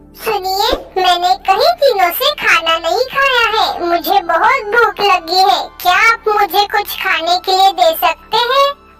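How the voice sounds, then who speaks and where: A cartoonish character voice, female-sounding and extremely high in pitch, speaks at a fairly slow pace over music in the background. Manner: pleading, sad.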